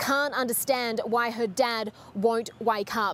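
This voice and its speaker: A woman's fairly even intonation in a dry sound with no echo. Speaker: news reporter. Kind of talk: live news report. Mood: serious, measured. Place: street. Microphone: handheld.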